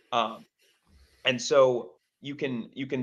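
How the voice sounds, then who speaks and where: A man at medium pitch. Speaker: marketing executive, SEO specialist. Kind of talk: interview on a live Q&A stream. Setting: live stream video call. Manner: fast.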